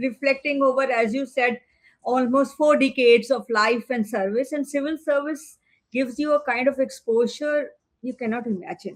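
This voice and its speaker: A woman speaks in a high voice with fairly even intonation. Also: moderate pace. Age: 60s. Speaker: retired civil servant. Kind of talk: interview conversation. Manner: halting.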